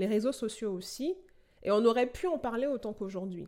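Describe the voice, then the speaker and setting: With lively intonation and a dark, mellow tone, a woman talks at a fairly quick pace. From Benin. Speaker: podcast host and AI researcher. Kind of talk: podcast introduction monologue.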